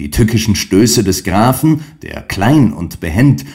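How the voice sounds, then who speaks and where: A man speaks at a fairly slow pace with very wide pitch swings and a somewhat breathy voice. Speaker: audiobook narrator. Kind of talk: dramatic narration of a classic story, read aloud. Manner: animated, building intensity, vivid storm-like pacing in the battle scene; formal, measured, literary.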